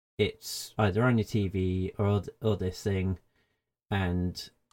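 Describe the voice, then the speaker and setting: A man with a British accent speaks in a fairly low pitch and a dark, mellow tone, recorded with a dry, close sound and no echo. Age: 30s. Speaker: gaming website editor. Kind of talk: casual chat. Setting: video call.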